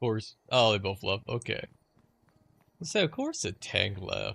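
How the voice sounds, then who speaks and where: A man's quiet mumbling at a fairly slow pace on a very clean recording with a silent background. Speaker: gaming streamer. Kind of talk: casual chat.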